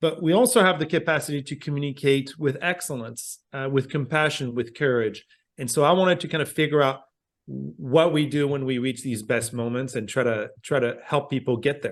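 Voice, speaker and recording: Fairly quick speech from a man, pitched fairly high, with ordinary pitch variation. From France. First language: French. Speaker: communication professor. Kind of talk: podcast interview.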